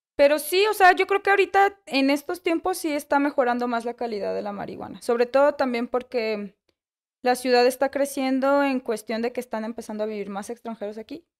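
Over a quiet background, a woman with a high pitch talks at a fairly quick pace, her intonation lively and her loudness swinging widely. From Mexico City. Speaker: bakery co-owner. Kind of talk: casual interview. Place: cafe. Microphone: studio mic.

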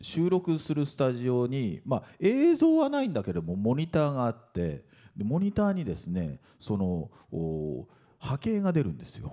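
Against a quiet background, a man's dark, mellow voice moves through very wide pitch swings. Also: medium pitch for a man, moderate pace. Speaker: voice actor. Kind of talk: panel talk at press event. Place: hall. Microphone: handheld.

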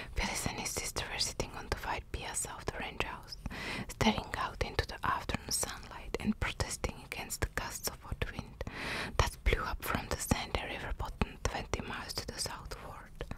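Someone whispers in a calm tone at a moderate pace. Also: woman. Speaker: ASMR narrator. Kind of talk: whispered audiobook-style story reading (ASMR). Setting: close-mic ASMR recording with drawing sounds. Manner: whispered, calm, soft. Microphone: studio mic.

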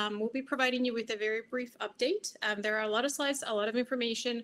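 A woman talks very fast, her pitch varying in an ordinary way. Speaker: science agency program manager. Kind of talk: conference presentation. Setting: video call.

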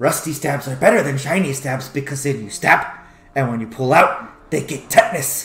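A put-on character voice plays over faint music in the background. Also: man, fairly high pitch for a man, moderate pace. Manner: gleeful, scheming.

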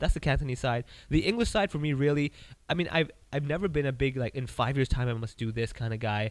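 A man with a medium pitch rushes along at a very fast pace, his pitch varying in an ordinary way. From Hong Kong. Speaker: stand-up comedian. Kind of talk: casual interview. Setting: comedy club venue. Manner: animated, jokey, laughs often.

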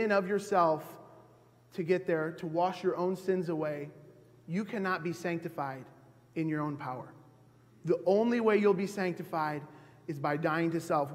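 Here a man speaks with a high pitch. His pace is moderate and his pitch variation ordinary. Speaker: preacher. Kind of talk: sermon. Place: church. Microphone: podium.

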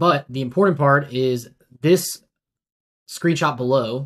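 A man is speaking at a medium pitch. His pace is fairly slow.

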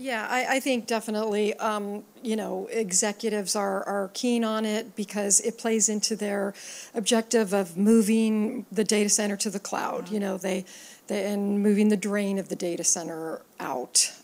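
Using an ordinary speaking voice, a woman talks at medium pitch and a moderate pace with fairly even intonation. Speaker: tech industry analyst. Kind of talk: panel discussion. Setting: conference stage with audience. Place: hall. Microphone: handheld.

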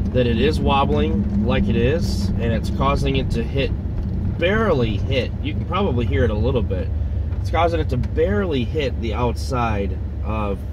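With noticeable background noise and a dry sound with no echo, a man speaks at a moderate pace. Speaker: driver vlogger. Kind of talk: casual vlog chat. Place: car.

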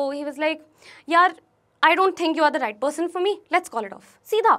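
Against a quiet background, a woman uses a raised, projected voice with ordinary pitch variation. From New Delhi, India; India. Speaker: YouTuber. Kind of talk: motivational talk. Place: studio. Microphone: lapel.

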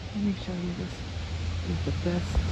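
The speech comes at a very slow pace, in a dry sound with no echo and loud background noise. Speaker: gardener showing her trees. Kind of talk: casual talk to camera. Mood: pleased, admiring. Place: garden. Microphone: phone near.

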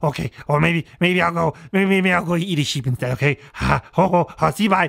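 At a fairly slow pace, a man puts on a character voice pitched high. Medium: comedy sketch.

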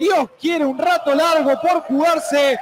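Noticeable background noise surrounds this man's excited tone. His pitch is extremely high. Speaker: football commentator. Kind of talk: live football commentary with analysis. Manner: excited, emphatic.

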